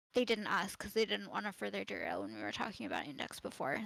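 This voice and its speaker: This is a woman speaking. Her pace is very fast. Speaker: wiki tutorial instructor. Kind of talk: live tutorial. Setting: live stream on Discord. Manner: hesitant fillers.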